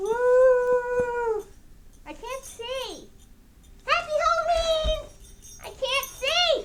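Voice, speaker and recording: This put-on character voice sits at an extremely high pitch. It moves at a very slow pace with long, frequent pauses. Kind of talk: ghost story told to camera. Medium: role play. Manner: upbeat.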